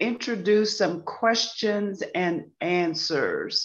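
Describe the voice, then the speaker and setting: Against a quiet background, a woman speaks in a plain, everyday voice at a fairly high pitch with ordinary pitch variation. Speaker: moderator. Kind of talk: event moderation. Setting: video call. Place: home room. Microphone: video call.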